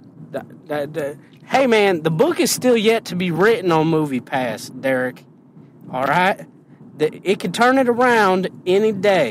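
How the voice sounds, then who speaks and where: Using an American accent, a man with a high pitch speaks at a fairly slow pace, his voice making very wide pitch swings. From Indiana. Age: middle-aged. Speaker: podcast co-host. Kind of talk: casual chat.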